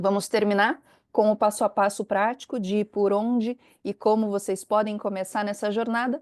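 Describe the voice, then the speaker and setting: A woman with a Brazilian accent, medium pitch and a moderate pace, against a quiet background. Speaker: compliance consultant, company founder. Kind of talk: webinar presentation. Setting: online webinar.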